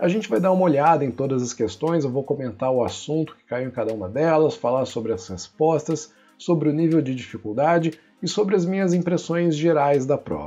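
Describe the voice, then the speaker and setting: Over music in the background, a man with a fairly high voice talks fairly quickly, his intonation lively and his loudness swinging widely. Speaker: physics teacher. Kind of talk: exam review tutorial. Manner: casual, conversational.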